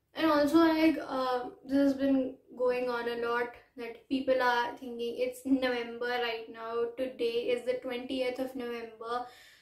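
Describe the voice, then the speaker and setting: Speaking fairly slowly with hardly any pauses, a woman uses a high pitch and a monotone, flat intonation. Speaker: vlogger. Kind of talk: casual vlog talk.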